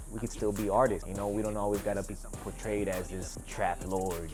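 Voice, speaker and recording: Music plays in the background, and audible room echo colors the sound. A man speaks in a fairly low pitch with fairly even intonation. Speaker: rapper. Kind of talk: interview. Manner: soft-spoken; casual.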